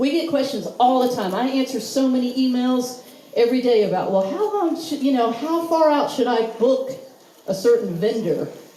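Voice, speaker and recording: Speech in a Southern US accent amid noticeable background noise. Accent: Southern drawl. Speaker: wedding expo organizer. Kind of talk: presentation to live audience. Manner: casual, chatty.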